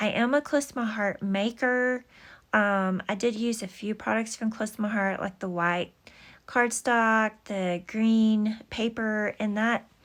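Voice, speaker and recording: A fairly high-pitched woman's voice with an American accent and fairly even intonation, on a very clean recording with a silent background. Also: fairly slow pace. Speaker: scrapbooking YouTuber. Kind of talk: casual craft tutorial. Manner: slow; halting with many fillers.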